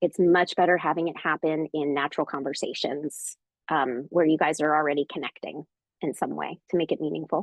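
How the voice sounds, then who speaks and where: Speaking at a fairly quick pace, a woman keeps a monotone, flat intonation. Her pitch is very deep and low. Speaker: parenting educator. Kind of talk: live Q&A. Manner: chatty.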